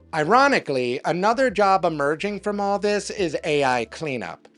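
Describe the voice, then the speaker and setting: The speaker talks at a moderate pace with music in the background. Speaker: marketing commentator, agency owner. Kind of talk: scripted commentary to camera. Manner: fluent, scripted delivery.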